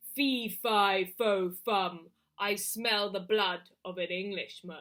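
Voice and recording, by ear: A woman's put-on character voice, medium in pitch and very slow, on a very clean recording with a silent background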